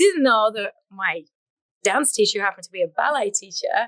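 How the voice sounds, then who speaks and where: A woman's high-pitched voice at a fairly quick pace, with very wide pitch swings and a dry, close sound with no echo. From English Midlands. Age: 50s. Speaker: fitness instructor. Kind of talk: interview conversation. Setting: live podcast studio. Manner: animated.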